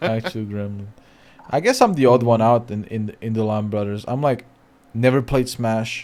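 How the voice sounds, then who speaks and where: This is a man with an ordinary speaking voice at a medium pitch. He talks at a moderate pace with ordinary pitch variation. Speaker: streamer. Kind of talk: casual chat.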